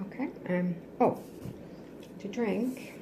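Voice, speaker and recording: Soft-spoken, a woman talks with ordinary pitch variation over noticeable background noise and audible room echo. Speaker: ASMR creator. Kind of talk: cooking tutorial. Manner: quiet, trying to speak louder.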